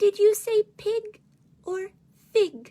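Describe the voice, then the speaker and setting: In a put-on character voice, a woman sounds squeaky at an extremely high pitch, her intonation monotone and flat. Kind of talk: bedtime story. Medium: read story. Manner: teasing, cryptic.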